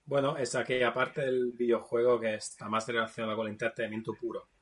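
His intonation fairly even, a man speaks at medium pitch. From Naples, Italy. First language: Italian (speaking Spanish). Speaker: video game developer. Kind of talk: casual chat.

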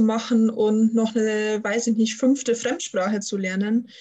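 Somewhat breathy and fairly high-pitched, a woman speaks with a monotone, flat intonation. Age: 20s. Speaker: student and systemic coach. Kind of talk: interview.

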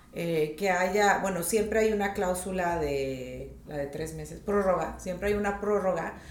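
Noticeable background noise and audible room echo are present. A woman speaks in a medium pitch with ordinary pitch variation. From northern Mexico, Tijuana. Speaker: real estate agent. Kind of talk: podcast interview.

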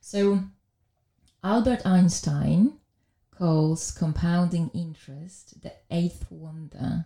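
A somewhat breathy, dark, mellow voice with a Polish accent, at a very slow pace with long, frequent pauses. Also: woman, fairly low pitch for a woman, ordinary pitch variation. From Poland. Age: 40s. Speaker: wealth manager. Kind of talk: casual interview.

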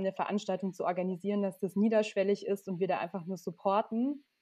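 Fairly quick in pace, a woman speaks with a dark, mellow tone at a medium pitch. Her intonation stays fairly even. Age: 30s. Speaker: trainee lawyer. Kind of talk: casual interview.

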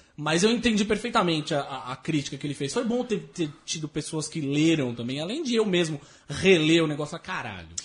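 Speaking in an ordinary speaking voice, a man talks at a fairly quick pace with hardly any pauses, a fairly high pitch and lively intonation. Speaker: podcast co-host. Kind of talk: casual chat.

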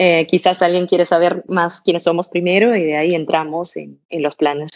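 The woman's voice sits at a fairly low pitch. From Denmark, small town. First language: Danish (speaking Spanish). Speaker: fashion brand co-founder. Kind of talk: interview.

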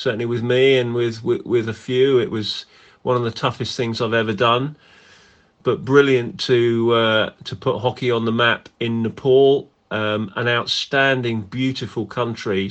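A man's medium-pitched voice with an English accent, fairly slow, with fairly even intonation. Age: 50s. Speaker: national hockey team manager. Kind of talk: interview.

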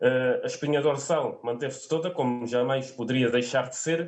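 A man keeps a moderate pace, his delivery somewhat breathy and his intonation fairly even. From Alentejo, southern Portugal. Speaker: sports fan commentator. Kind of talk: casual sports discussion. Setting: online video call.

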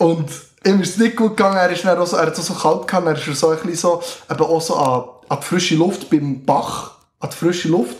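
A fairly quick pace marks this man's speech, which sits at a high pitch. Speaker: scout leader. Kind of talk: casual chat. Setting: studio.

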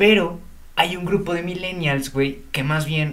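With lively intonation, a man talks at a fairly slow pace amid audible room echo. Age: young. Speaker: podcast co-host. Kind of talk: casual chat.

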